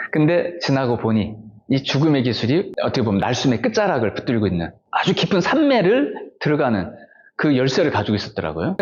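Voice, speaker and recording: Vocal fry and very wide pitch swings in a male voice. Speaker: Buddhist monk. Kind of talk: personal testimony. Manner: conversational, many fillers.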